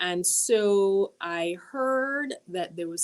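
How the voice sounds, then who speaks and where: A woman with a Jamaican accent speaks with ordinary pitch variation. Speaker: university dean. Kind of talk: interview.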